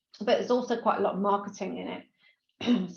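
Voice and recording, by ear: Doing a put-on character voice, a woman speaks at a fairly quick pace, hoarse and raspy. Her pitch sits in the medium range with ordinary variation.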